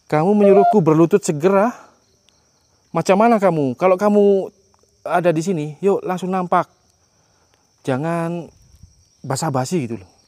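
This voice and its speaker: At a moderate pace, a high-pitched man speaks with ordinary pitch variation, big swings in loudness and long, frequent pauses. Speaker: ghost hunting explorer vlogger. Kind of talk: solo exploration vlog narration. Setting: abandoned factory at night.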